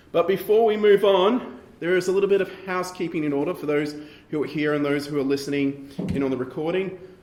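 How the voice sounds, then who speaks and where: A man rattles along at a very fast pace, his voice high and his pitch varying in an ordinary way, while noticeable background noise carries on around him. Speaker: panel moderator. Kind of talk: event introduction.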